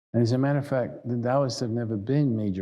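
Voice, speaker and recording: A man speaks with a New York accent in a dark, mellow tone. His pace is moderate and his pitch varies in an ordinary way. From New York City. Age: 70s. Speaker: meditation and tai chi teacher. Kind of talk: lecture. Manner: halting.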